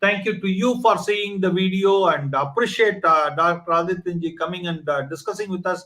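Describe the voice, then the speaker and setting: Raised and projected, a man's high-pitched voice comes through with a bright, sharp tone. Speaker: online talk show host. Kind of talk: channel promo; interview. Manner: hesitant, many fillers.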